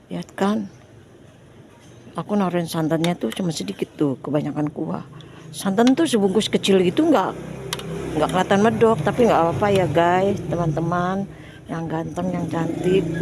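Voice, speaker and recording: A woman's fairly low voice with lively intonation, at a moderate pace with long, frequent pauses, over noticeable background noise. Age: old. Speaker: cooking vlogger. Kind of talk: casual vlog chat. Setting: home kitchen. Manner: loud.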